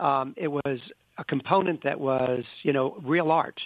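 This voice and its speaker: This is a man speaking. His voice has vocal fry. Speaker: senior living executive and author. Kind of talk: interview.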